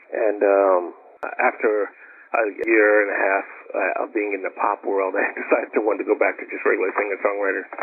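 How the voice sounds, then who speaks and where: A man talks fairly quickly. Noticeable background noise is present throughout. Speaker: guitarist and record producer. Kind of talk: interview answer. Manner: soft-spoken.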